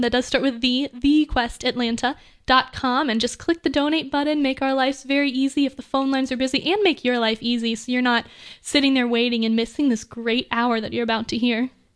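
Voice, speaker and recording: A woman's high voice with fairly even intonation. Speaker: pledge drive announcer. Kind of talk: donor announcements. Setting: radio studio.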